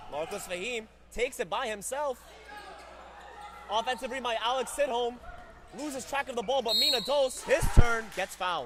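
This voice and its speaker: Amid noticeable background noise, a man with an extremely high pitch speaks at a moderate pace, showing ordinary pitch variation and taking long, frequent pauses. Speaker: sports commentator. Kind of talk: live commentary. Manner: animated.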